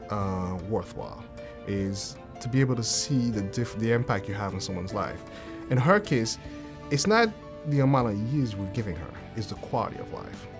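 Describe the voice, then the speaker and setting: There is music in the background as a man speaks at a moderate pace and medium pitch. His intonation is lively, and he takes long, frequent pauses. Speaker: cardiologist. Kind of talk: interview answer.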